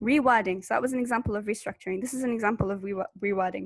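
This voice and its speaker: A woman with a British accent speaks at a fairly high pitch over a quiet background. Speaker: university student presenter. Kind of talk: tutorial webinar. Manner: casual, conversational.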